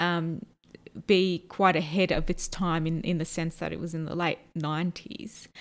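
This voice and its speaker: A woman speaks with fairly low pitch in a monotone, flat intonation. The recording is very clean, with a silent background. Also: moderate pace. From born and raised outside Turkey to Turkish immigrant parents. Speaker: podcast co-host. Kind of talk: casual chat.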